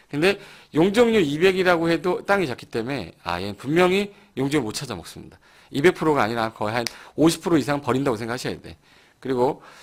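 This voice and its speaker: This man talks at a very fast pace in a fairly high voice, with very wide pitch swings and big swings in loudness. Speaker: real estate law lecturer. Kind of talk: lecture.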